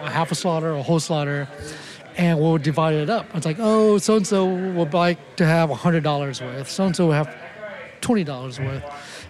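There is noticeable background noise behind a man speaking at a fairly high pitch. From Thailand, Lao family, raised in Oakland. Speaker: chef and restaurant owner. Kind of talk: interview.

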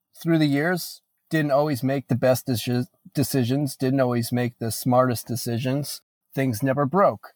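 A man with an American accent has a plain, everyday voice at medium pitch with fairly even intonation. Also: dry, close sound with no echo. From Northeast Pennsylvania. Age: 20s. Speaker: musician and father. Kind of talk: interview conversation.

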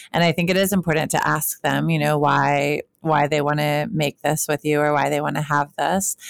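A woman with vocal fry speaks in a very deep, low pitch at a moderate pace, her intonation fairly even, her loudness very even, with hardly any pauses. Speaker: podcast co-host, sex researcher. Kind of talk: casual chat.

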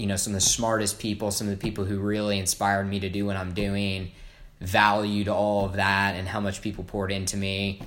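A man with an American accent and a fairly low pitch, at a fairly quick pace, with audible room echo. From US Midwest, Evansville, Indiana. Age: 20s. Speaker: video production entrepreneur. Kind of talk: interview. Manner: hesitant, many fillers.

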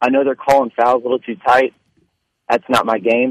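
A man speaks at medium pitch. The sound is dry and close, with no echo. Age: 30s. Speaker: caller. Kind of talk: casual call-in chat. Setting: phone call.

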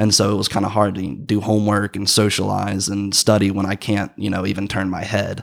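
With an American accent, a man talks at a fairly quick pace. His intonation is monotone and flat. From US South, rural Georgia. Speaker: college student with vision loss. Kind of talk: casual interview.

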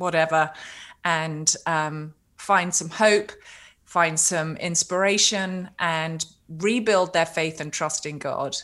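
In a very clean recording with a silent background, a woman speaks with a British accent. She talks very slowly with fairly even intonation. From Britain. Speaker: cancer survivor and author. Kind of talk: casual interview.

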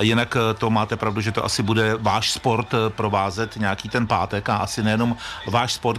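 A man speaks over noticeable background noise. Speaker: radio sports host. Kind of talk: radio interview. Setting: outdoor festival stage.

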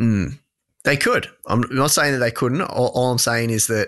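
A man with an Australian accent speaks at a moderate pace in a quiet background. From regional Victoria, Australia. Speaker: personal finance podcaster. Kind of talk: casual interview.

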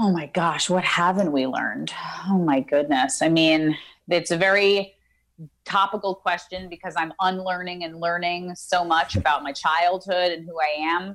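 A woman with an ordinary speaking voice talks at a moderate pace in a fairly low pitch with ordinary pitch variation. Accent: American. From New York City (Queens). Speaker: actress. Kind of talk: casual interview. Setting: video call.

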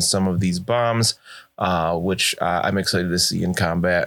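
A man at a moderate pace, with fairly even intonation and an ordinary speaking voice. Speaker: game master of a tabletop roleplaying podcast. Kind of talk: tabletop roleplaying actual play with in-character narration.

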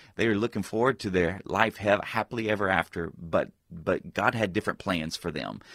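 A man speaks at a fairly quick pace in a normal speaking voice, fairly low in pitch with ordinary pitch variation. The sound is dry and close, with no echo. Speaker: pastor and author. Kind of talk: radio interview.

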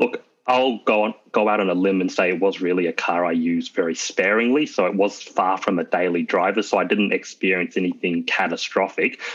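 Talking at a fairly quick pace with hardly any pauses, a man uses an Australian accent at a fairly low pitch. His intonation is fairly even and his loudness very even. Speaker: car owner. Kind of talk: casual interview. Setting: video call.

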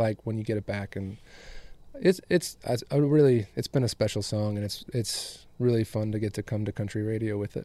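A fairly low-pitched man with an American accent, at a moderate pace with ordinary pitch variation and an unremarkable speaking voice. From West Michigan. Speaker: singer-songwriter. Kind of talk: casual interview.

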